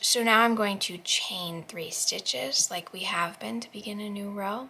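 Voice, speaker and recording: In an ordinary speaking voice, a woman talks at medium pitch and a moderate pace. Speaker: crochet tutorial youtuber. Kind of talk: tutorial. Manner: casual.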